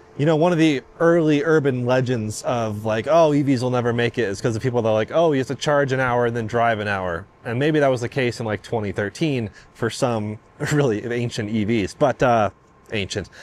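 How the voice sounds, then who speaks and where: A man speaks at a fairly quick pace with ordinary pitch variation, and the sound is dry with no echo. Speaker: car reviewer. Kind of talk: casual vlog chat. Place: station. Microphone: lapel.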